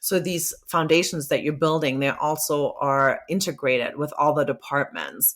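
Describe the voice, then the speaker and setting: Her voice is a very deep, low pitch for a woman. She speaks at a moderate pace. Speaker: marketing executive. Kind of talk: podcast interview. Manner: animated.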